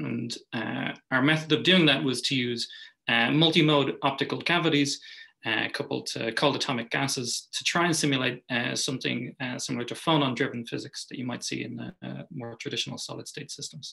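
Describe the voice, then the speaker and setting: Speaking with an Irish accent, a man has a bright, sharp tone and vocal fry. His pace is fairly quick, with ordinary pitch variation. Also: medium pitch for a man. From Ireland. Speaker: physicist. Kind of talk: lecture.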